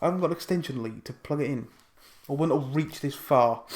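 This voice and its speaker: In an English accent, a man speaks in an animated tone on a very clean recording with a silent background. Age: 20s. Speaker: wrestling YouTuber. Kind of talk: casual vlog. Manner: fast.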